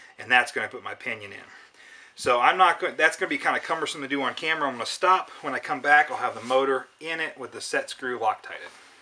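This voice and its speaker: A man talks very fast in a fairly high voice with ordinary pitch variation. His loudness swings widely, and there is noticeable background noise. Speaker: RC helicopter hobbyist. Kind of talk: tutorial. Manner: casual.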